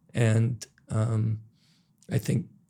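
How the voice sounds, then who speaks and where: Pitched in the medium range, a man talks in a somewhat breathy voice. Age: 60s. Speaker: entrepreneur. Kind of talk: podcast interview.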